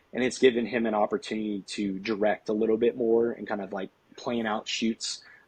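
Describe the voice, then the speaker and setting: A man speaks at a fairly quick pace, his medium-pitched voice flat and monotone, recorded dry and close with no echo. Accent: Southern. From Tennessee. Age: 20s. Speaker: golf videographer and content creator. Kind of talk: podcast interview. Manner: casual, many filler words.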